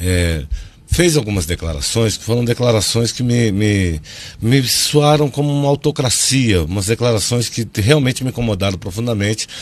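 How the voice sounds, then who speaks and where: A man at a moderate pace, pitch swinging very widely, with noticeable background noise. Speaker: political communication consultant. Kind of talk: TV news interview. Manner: loud; animated.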